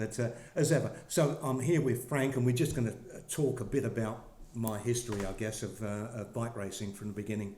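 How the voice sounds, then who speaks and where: A man talks at a fairly quick pace in a medium pitch with ordinary pitch variation. Room echo is audible. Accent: English. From England (Essex / East London). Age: 70s. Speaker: former professional cyclist. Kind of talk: interview. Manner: hesitant, many fillers.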